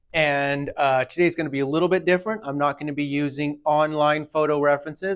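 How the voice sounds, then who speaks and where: A man with a normal speaking voice, fairly high in pitch, with fairly even intonation. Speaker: tattoo artist. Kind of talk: tutorial. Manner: casual.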